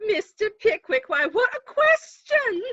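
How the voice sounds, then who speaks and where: A woman puts on a squeaky character voice with an extremely high pitch and very wide pitch swings. She goes at a fairly slow pace, the sound dry and close with no echo. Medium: stage play. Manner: breathy, stammering, giggly.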